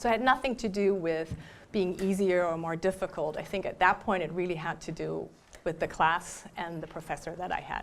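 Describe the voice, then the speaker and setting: A woman with a German accent speaks at a fairly quick pace in a fairly low voice with ordinary pitch variation. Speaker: professor. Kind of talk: lecture Q&A. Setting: library talk with audience.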